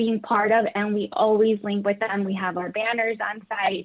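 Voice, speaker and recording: A woman speaks in an American accent with a plain, everyday voice. Her pitch is medium and her pace fairly slow. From Chicago Heights, Illinois. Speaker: credit union professional. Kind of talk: panel discussion.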